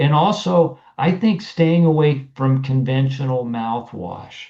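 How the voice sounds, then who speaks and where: At a very slow pace, a man speaks with lively intonation in a somewhat breathy, fairly high voice that has a dark, mellow tone. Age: 60s. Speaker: naturopathic doctor. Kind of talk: interview.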